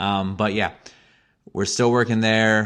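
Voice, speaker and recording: Fairly even intonation from a man with an American accent. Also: very clean recording, silent background. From Missouri, US. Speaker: podcaster. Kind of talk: casual monologue. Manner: rambling, hesitant with fillers.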